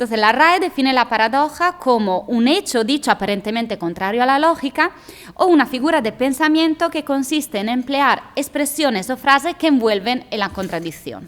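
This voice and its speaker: Speaking at a moderate pace with hardly any pauses, a woman uses a high pitch and lively intonation. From outside Spain. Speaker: science lecturer. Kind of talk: lecture. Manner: halting.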